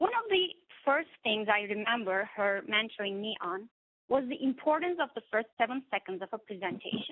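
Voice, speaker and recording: The speaker talks with a non-native accent and lively intonation. The pace is moderate. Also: woman. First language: not English. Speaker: therapist and coach giving a speech. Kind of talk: prepared speech. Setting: webinar.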